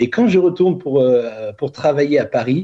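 The man's somewhat breathy voice moves along at a moderate pace. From Burgundy, France. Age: 50s. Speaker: author and coach. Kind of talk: interview. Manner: hesitant with fillers.

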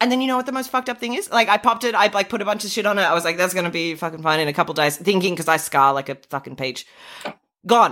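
The voice has an Australian accent and a bright, sharp tone. It moves at a very fast pace with lively intonation. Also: woman, medium pitch for a woman. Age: 30s. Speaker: podcast co-host. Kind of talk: casual chat.

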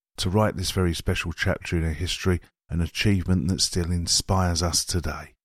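In a very deep, low voice, a man speaks fairly quickly with monotone, flat intonation on a very clean recording with a silent background. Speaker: audio programme reader. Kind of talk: reading aloud.

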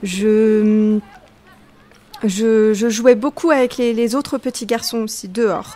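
Over noticeable background noise, a woman with a fairly high pitch speaks at a very slow pace, leaving long, frequent pauses, her intonation fairly even. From Tunisia, Tunis. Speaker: novelist and literature teacher. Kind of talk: interview. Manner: halting, many hesitations.

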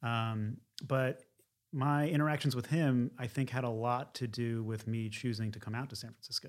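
An unremarkable speaking voice from a man with an American accent, medium pitch, moderate pace and fairly even intonation, in a very clean recording with a silent background. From Philadelphia area, US. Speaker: painter. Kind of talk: interview.

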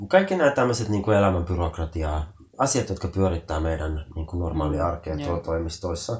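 A man with a very deep, low voice. His pitch moves in an ordinary way, and the sound is somewhat breathy. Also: moderate pace. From Finland, Helsinki. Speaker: Finnish emigrant interviewee. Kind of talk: casual chat.

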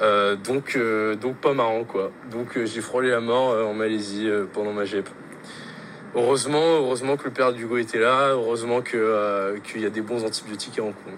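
With noticeable background noise behind him, a man speaks at a medium pitch and a moderate pace with fairly even intonation. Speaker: exchange student. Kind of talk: recorded testimony.

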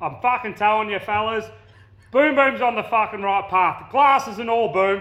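With an Australian accent, this man has a high pitch and a bright, sharp tone, showing ordinary pitch variation. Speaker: listener. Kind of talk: voice message.

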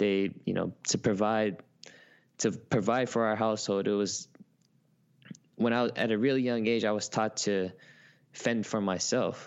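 A man with an American accent talks at a fairly low pitch and a fairly slow pace, with fairly even intonation. Long, frequent pauses break up his speech, and his loudness stays very even. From Oakland, California (US West Coast). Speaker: content creator. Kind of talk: casual interview chat.

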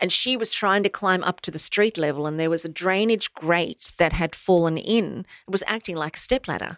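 In an Australian accent, a woman with a fairly low pitch talks at a moderate pace with hardly any pauses and ordinary pitch variation, the sound dry and close without echo. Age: 50s. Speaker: motivational speaker. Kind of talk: interview. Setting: studio.

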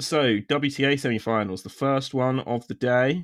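A man with a British accent and ordinary pitch variation, in a dry, close sound with no echo, on a very clean recording with a silent background. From Britain. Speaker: tennis podcast host. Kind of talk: casual chat.

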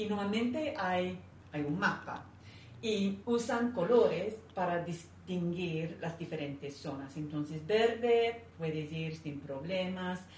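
Speaking very slowly with an English accent, a woman uses lively intonation amid audible room echo and noticeable background noise. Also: fairly low pitch for a woman. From England. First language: English (speaking Spanish). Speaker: interview guest. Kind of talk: interview conversation.

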